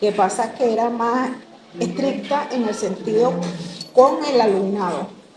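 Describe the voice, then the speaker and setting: A woman's fairly high voice with ordinary pitch variation, at a fairly slow pace with long, frequent pauses, amid noticeable background noise and audible room echo. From Venezuela, Caracas. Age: 60s. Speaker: interviewee, former school athlete. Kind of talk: interview.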